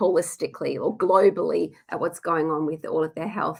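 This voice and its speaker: A woman with an Australian accent, moderate pace and ordinary pitch variation. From Western Australia, Perth. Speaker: nutritionist. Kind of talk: webinar presentation. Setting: online webinar. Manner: hesitant, many fillers.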